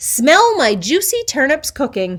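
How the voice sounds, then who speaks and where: Pitched high and moving at a fairly slow pace, this put-on character voice swings very widely up and down. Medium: read story. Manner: cheerful, clever.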